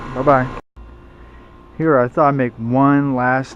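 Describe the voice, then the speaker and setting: Noticeable background noise surrounds this man's voice. He speaks fairly slowly at a medium pitch, with monotone, flat intonation. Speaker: HVAC hobbyist vlogger. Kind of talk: casual video walkthrough.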